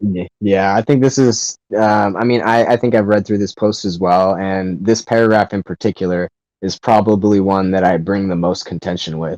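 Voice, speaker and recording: With hardly any pauses, a man speaks at a moderate pace in an unremarkable speaking voice, fairly low in pitch with fairly even intonation, in a dry, close sound with no echo. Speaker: podcast co-host. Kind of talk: casual debate discussion.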